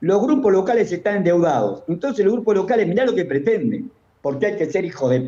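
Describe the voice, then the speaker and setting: A man's dark, mellow voice, high in pitch, at a fairly quick pace. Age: 70s. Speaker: economist. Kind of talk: interview. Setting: remote call. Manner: animated.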